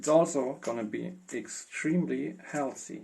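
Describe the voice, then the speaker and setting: Using lively intonation, a man with a non-native accent speaks at a medium pitch. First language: not English. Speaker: home cook. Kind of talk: cooking tutorial voiceover. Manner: casual, hesitant.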